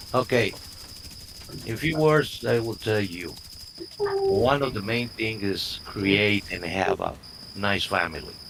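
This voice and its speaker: A man at a very slow pace and fairly low pitch, with long, frequent pauses over noticeable background noise. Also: lively intonation. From Mexico. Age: 70s. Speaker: retired organic grower and architect, gamer. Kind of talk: casual chat while gaming. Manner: halting.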